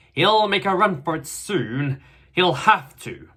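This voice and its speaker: A man's put-on character voice, high in pitch and fairly slow. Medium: read story.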